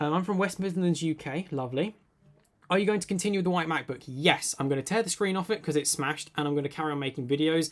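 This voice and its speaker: A man with a British accent speaks at a high pitch with ordinary pitch variation. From UK. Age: 20s. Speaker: tech YouTuber. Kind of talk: live stream Q&A. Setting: live stream. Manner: casual, many filler words.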